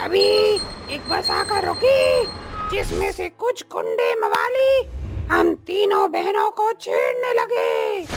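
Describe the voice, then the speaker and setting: A cartoonish character voice at an extremely high pitch talks at a very slow pace over clear background noise. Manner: harsh, scornful tū-speech.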